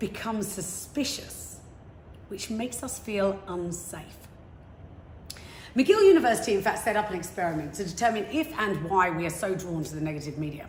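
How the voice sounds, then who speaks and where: A woman with a southern English accent speaks in an animated tone at a moderate pace, her pitch swinging very widely, with audible room echo and noticeable background noise. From England, London. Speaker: motivational speaker. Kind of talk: talk.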